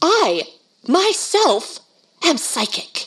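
A woman does a shrill, put-on character voice with very wide pitch swings. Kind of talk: 1930s radio horror drama. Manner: domineering, imperious, shrill.

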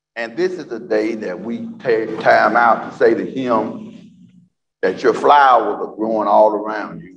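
A man's fairly slow speech is accompanied by background music. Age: 70s. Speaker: guest preacher. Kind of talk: sermon. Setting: church.

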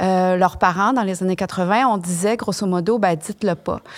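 A woman of medium pitch with a Quebec accent speaks at a very fast pace. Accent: Québécois French. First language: French. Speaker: expert on gamete donation. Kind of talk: interview.

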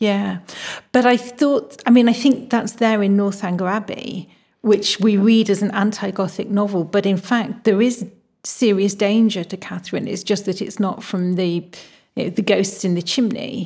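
A woman's somewhat breathy, dark, mellow voice, medium in pitch, at a moderate pace with fairly even intonation, on a very clean recording with a silent background. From northern England. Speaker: novelist and creative writing professor. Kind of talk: interview.

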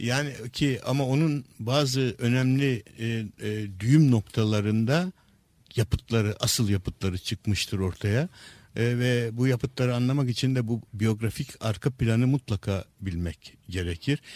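In a very clean recording with a silent background and a dry, close sound with no echo, a man speaks at a fairly slow pace with medium pitch and ordinary pitch variation. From Istanbul, Turkey. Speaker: neuropsychiatrist and author. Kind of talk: radio interview, lecture-like explanation. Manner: hesitant with frequent filler sounds.

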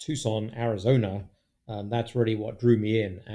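A man's fairly low voice with a dark, mellow tone and fairly even intonation. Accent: British. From England (London). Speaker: guest, British immigrant. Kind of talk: casual chat.

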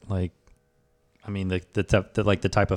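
A man at a fairly quick pace in a very clean recording with a silent background, dry and close with no echo. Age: 30s. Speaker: podcast host. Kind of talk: casual chat.

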